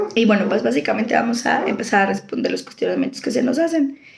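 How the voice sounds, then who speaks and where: A woman speaks at a high pitch. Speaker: law student. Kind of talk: school assignment presentation. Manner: halting.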